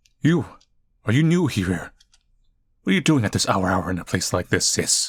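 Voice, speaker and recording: A man performs a put-on character voice. It sits fairly low in pitch at a moderate pace. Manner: serious, challenging.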